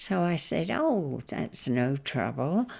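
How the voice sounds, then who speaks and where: A woman with a southern English accent at a very slow pace. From southern England, Hampshire. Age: 90s. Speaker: interviewee recalling her life. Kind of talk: oral history interview. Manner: halting, with repeated false starts.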